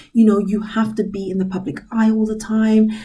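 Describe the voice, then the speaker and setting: In a British accent, a woman speaks in a dark, mellow, somewhat breathy tone, with audible room echo around her. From UK. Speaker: inspirational vlogger. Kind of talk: motivational talk to camera. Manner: casual, hesitant with fillers.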